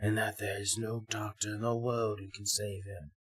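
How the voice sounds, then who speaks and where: An unremarkable speaking voice from a man, fairly low in pitch, with fairly even intonation at a fairly slow pace. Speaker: storyteller narrator. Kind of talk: fairy tale narration.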